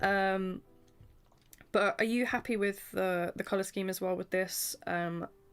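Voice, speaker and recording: Music plays in the background as a woman speaks in a medium pitch. Her intonation is monotone and flat, and her pace is fairly slow. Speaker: streamer and artist. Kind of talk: casual chat. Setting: livestream.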